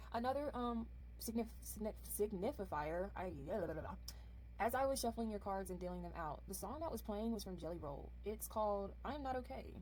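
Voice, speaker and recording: A woman speaks at a fairly quick pace. Room echo is audible. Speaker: tarot card reader. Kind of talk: pick-a-card tarot reading. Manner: halting, many fillers and self-corrections; casual, chatty.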